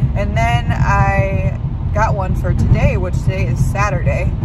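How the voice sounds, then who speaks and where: Loud background noise sits behind speech at a moderate pace, with a dry sound and no echo. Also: woman. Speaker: van life vlogger. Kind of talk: casual vlog chat. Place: car. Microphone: phone near.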